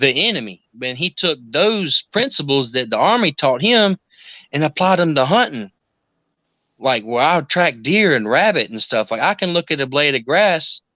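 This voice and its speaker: This man's fairly high voice swings very widely in pitch, with a bright, sharp tone at a moderate pace. The sound is dry and close with no echo, over a quiet background. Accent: South Carolina. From US South, South Carolina. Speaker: occult practitioner. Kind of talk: casual chat.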